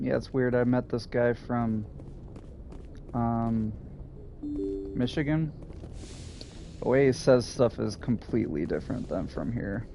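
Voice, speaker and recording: Over music in the background, a man with an American accent talks at a fairly slow pace with ordinary pitch variation and long, frequent pauses. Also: medium pitch for a man. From US Midwest. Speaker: gaming streamer. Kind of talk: casual chat. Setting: live stream.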